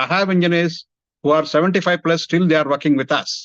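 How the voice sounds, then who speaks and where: Speaking with an Indian accent, a man is heard in a dry, close sound with no echo over a quiet background. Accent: Indian English, Telugu. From India, Hyderabad. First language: Telugu. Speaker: engineering industry executive. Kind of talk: career talk to students.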